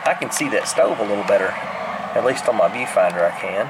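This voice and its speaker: Someone with a Southern US accent talks at a fairly quick pace against noticeable background noise. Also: man. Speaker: urban explorer vlogger. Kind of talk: casual vlog narration. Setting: outdoors.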